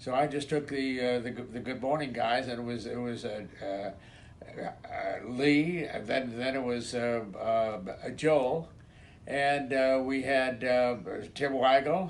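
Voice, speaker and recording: Audible room echo surrounds a man talking at a very slow pace with fairly even intonation. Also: medium pitch for a man. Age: 90s. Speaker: retired radio station manager. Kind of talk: reminiscing recorded message. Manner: halting, many repetitions and fillers.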